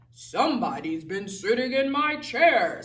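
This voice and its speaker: A man growls in a put-on character voice at an extremely high pitch. His pitch swings very widely at a fairly slow pace. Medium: read story.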